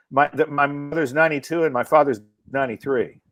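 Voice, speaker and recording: Fairly high-pitched man with an American accent, dry, close sound with no echo, music in the background. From US South, North Carolina (Asheville). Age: 60s. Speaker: comedian. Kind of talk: casual chat. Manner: animated storytelling.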